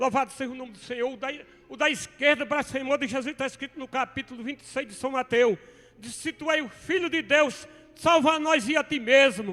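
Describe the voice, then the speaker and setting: Raised and projected, the voice has a bright, sharp tone, big swings in loudness, ordinary pitch variation and a fairly quick pace. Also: man, extremely high pitch for a man. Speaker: preacher. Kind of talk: sermon.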